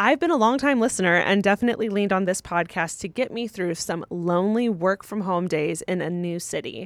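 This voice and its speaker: At a moderate pace, a woman with an unremarkable speaking voice talks at a medium pitch with ordinary pitch variation in a very clean recording with a silent background. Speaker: advice podcast co-host. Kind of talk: casual chat.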